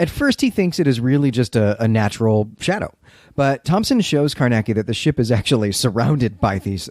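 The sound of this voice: An unforced reading voice delivers the lines with lively intonation.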